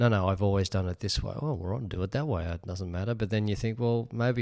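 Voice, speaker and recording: In a very clean recording with a silent background, a man with an Australian accent speaks at a fairly low pitch with ordinary pitch variation. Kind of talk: interview discussion. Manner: hesitant, filler-heavy.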